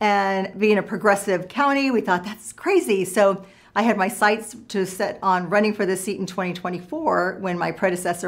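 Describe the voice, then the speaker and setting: With a Californian accent, a woman of medium pitch speaks at a moderate pace with ordinary pitch variation and hardly any pauses. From Southern California. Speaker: state legislator, former journalist. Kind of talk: interview answers.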